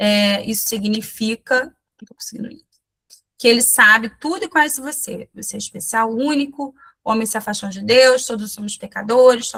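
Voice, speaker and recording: At a moderate pace, a woman speaks with a fairly high pitch, ordinary pitch variation and big swings in loudness. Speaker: missionary and children's ministry teacher. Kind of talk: online training talk. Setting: video call. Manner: halting, with false starts.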